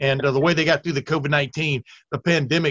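Speaking at a fairly quick pace, a man with an unremarkable speaking voice and a fairly high pitch shows ordinary pitch variation in a dry, close recording with no echo. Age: 60s. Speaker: college football podcast host. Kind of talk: casual chat.

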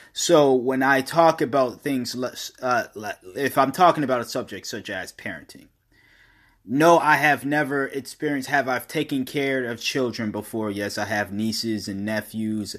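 This is an unremarkable speaking voice from a man with medium pitch. He keeps a moderate pace and ordinary pitch variation. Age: 20s. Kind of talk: casual monologue.

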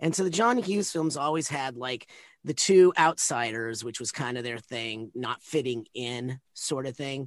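In a normal speaking voice, a man of medium pitch speaks at a moderate pace with ordinary pitch variation against a quiet background. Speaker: actor. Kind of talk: casual chat.

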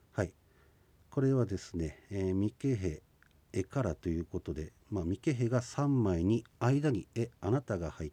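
With a dark, mellow tone and fairly low pitch, a man speaks at a moderate pace with lively intonation, the sound dry and close with no echo. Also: big swings in loudness, quiet background. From Hokkaido, Shizunai (Hidaka). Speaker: Ainu language instructor. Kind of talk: radio language lesson. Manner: frequent filler 'e' hesitations.

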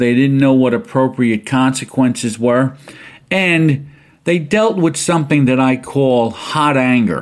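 This man has a plain, everyday voice, a medium pitch, ordinary pitch variation and very even loudness, and he talks at a fairly slow pace. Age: 60s. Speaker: podcast host, retired school administrator and college instructor. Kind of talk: solo educational podcast monologue. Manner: casual, conversational.

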